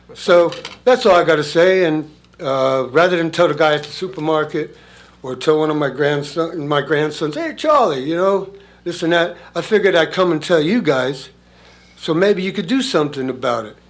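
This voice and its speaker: Audible room echo surrounds a man speaking at a moderate pace and fairly high pitch with ordinary pitch variation. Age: 70s. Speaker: resident speaking at public comment. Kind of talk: public comment at town meeting. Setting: town council meeting room. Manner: halting.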